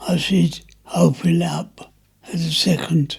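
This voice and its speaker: A man is speaking. His pace is very slow. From London, Notting Hill. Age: 90s. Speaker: war veteran. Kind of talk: interview. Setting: at home. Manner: halting.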